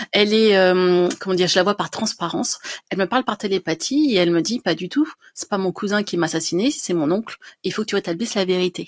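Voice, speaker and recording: Here a woman is talking. She goes at a fairly quick pace, with ordinary pitch variation. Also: quiet background. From France, Dijon; France. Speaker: writer and medium; interview guest. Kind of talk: interview. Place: home room. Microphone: studio mic.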